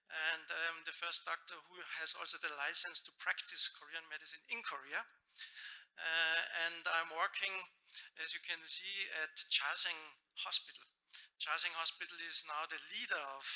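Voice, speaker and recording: A man with a German accent speaks at a moderate pace in a high, bright, sharp voice with fairly even intonation, big swings in loudness and long, frequent pauses. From Austria. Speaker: doctor of Korean medicine. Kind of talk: conference presentation. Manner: hesitant, many fillers.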